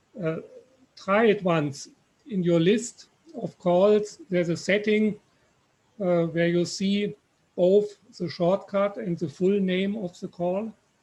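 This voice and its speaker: A man with a German accent and high pitch, very slow with long, frequent pauses and fairly even intonation. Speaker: software developer. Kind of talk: software Q&A on video call.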